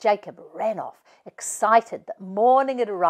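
An unforced reading voice carries the words.

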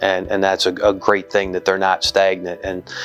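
A man's very deep, low voice at a fairly quick pace, monotone and flat in intonation, with faint music in the background. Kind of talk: interview answer. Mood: earnest, reflective. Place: office. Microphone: lapel.

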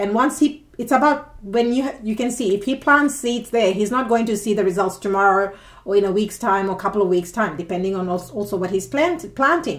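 Against a quiet background, a woman at medium pitch talks at a fairly quick pace with hardly any pauses, her tone animated and her intonation lively. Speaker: tarot reader. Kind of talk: tarot reading monologue. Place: home room. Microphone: phone near.

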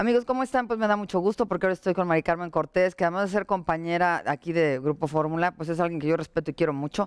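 Speaking at a very fast pace with hardly any pauses, a woman keeps a fairly low pitch. Her loudness stays very even, and the sound is dry and close with no echo. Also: ordinary pitch variation. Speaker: TV interview show host. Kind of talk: show opening monologue; interview.

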